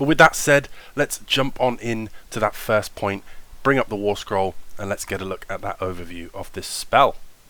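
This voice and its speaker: On a very clean recording with a silent background, a man with a British accent speaks enthusiastically at a medium pitch and a moderate pace, his bright, sharp voice swinging very widely in pitch. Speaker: tabletop wargaming YouTuber. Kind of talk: tutorial voiceover. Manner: casual, enthusiastic.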